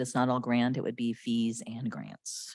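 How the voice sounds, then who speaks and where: A woman speaks quietly at a fairly quick pace. The recording is very clean with a silent background. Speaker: county health department official. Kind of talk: public meeting presentation. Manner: quiet, hard to hear.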